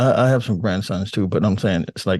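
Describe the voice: At a fairly quick pace, a man talks in a low pitch with ordinary pitch variation and a slightly mellow tone.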